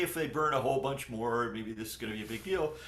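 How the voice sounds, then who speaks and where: Here a man talks with lively intonation. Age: 60s. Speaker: climate scientist, professor. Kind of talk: interview. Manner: hesitant, many fillers and repeated words.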